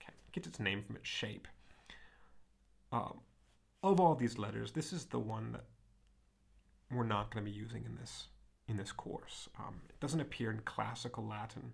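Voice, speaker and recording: Speaking with an American accent at a moderate pace, a man leaves long, frequent pauses, his loudness swings widely, and the room echo is audible. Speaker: Latin teacher. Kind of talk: lecture. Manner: many fillers and self-corrections.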